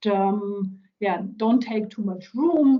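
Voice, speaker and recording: A woman with a German accent speaks at a fairly high pitch, somewhat breathy. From central Germany, rural. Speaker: business executive. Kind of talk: interview talk.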